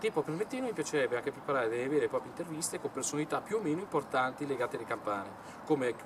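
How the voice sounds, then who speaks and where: Noticeable background noise runs through the clip. The man speaks very fast. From northern Italy, Milan. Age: 20s. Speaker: YouTuber, bell enthusiast. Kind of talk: monologue to camera. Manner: halting.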